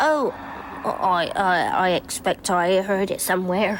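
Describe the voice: A cartoonish character voice, female-sounding, at a fairly slow pace over clear background noise. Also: medium pitch for a woman.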